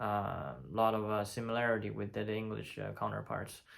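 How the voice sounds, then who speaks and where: Speaking at a moderate pace, a man talks with a Chinese accent. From China. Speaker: polyglot. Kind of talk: casual talk to camera. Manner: hesitant, many fillers.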